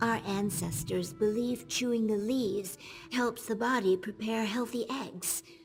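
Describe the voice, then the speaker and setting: Over clear music in the background, a female-sounding put-on character voice speaks at a moderate pace and a fairly high pitch. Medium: video game. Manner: chatty.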